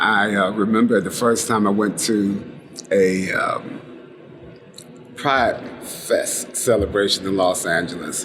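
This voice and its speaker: A man talks at a very slow pace while noticeable background noise carries on behind him. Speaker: HIV/AIDS activist. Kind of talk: oral history interview answer.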